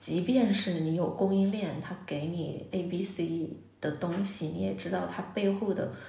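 A woman talks at a fairly slow pace with fairly even intonation. Audible room echo and noticeable background noise are present. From Jiangsu, China. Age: 30s. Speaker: restaurant owner. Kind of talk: interview conversation. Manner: many filler sounds and hesitations.

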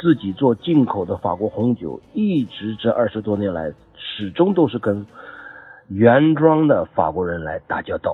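A man of medium pitch swings his pitch very widely while talking fairly slowly. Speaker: French language student, wine importer. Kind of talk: testimony. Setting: group chat voice message. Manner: formal.

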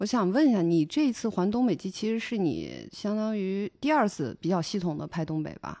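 This woman has a dark, mellow tone at medium pitch, with lively intonation. The recording is very clean with a silent background. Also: fairly quick pace. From Northwest China. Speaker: podcast host. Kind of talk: interview.

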